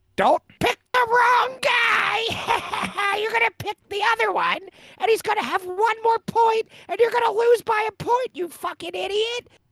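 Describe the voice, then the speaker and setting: A put-on character voice sits at an extremely high pitch. The pace is moderate. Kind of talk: loud, shouting at someone. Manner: taunting.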